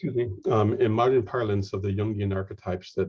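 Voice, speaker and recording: With a Lakota accent, the speaker has a dark, mellow, somewhat breathy tone, fairly even intonation and a moderate pace. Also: man. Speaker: lecturer and game scholar. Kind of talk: lecture. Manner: halting, many fillers and repetitions.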